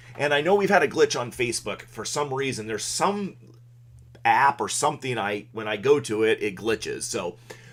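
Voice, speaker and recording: The intonation is lively. The pace is moderate. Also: man, medium pitch for a man. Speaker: local weather forecaster. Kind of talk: live-stream weather update. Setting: live stream broadcast. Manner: casual, many fillers.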